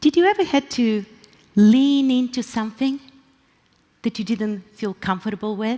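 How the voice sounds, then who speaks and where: A woman with a Bulgarian accent, fairly high in pitch, at a moderate pace with long, frequent pauses. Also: ordinary pitch variation. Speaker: pastor. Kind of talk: conference talk.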